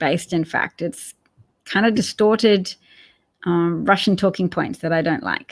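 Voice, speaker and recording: A woman with an Australian accent, fairly low pitch, ordinary pitch variation and a fairly slow pace, in a very clean recording with a silent background. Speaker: political livestream host. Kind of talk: casual livestream chat. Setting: live stream.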